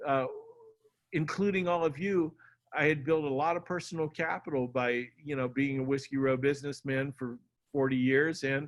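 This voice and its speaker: Speaking at a moderate pace, a man uses a fairly high pitch. His intonation is fairly even. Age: 60s. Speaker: local party chair and county candidate. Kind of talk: campaign speech at a meeting. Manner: halting, many fillers and restarts.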